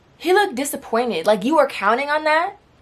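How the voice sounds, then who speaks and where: A woman's pitch swings very widely while noticeable background noise runs behind her. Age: 20s. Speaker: storytime YouTuber. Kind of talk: casual storytime talk to camera.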